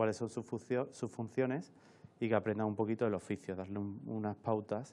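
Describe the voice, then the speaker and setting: Fairly even intonation marks this man's speech. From Seville, Andalusia, Spain; Andalusia, Spain. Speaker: camera assistant and film workshop instructor; film workshop instructor. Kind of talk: interview. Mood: relaxed, fond. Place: studio.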